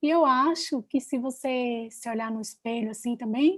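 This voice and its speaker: Pitch moving in an ordinary way, captured very cleanly against a silent background. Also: woman. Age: young. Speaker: public defender. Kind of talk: panel talk, storytelling.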